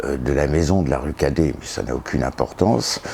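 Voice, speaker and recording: Through noticeable background noise, a man with a very deep, low pitch speaks at a moderate pace. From northern France, Pas-de-Calais. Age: 60s. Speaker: historian and author. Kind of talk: interview. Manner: hesitant, many fillers.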